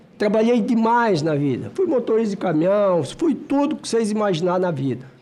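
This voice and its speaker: A man speaks with a high pitch, lively intonation and a dark, mellow tone. Audible room echo surrounds him. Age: 60s. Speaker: senator. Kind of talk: committee speech. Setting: senate committee hearing. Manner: emphatic.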